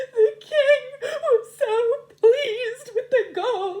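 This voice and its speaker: A woman speaks very slowly in a put-on character voice. Her pitch is extremely high. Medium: read story.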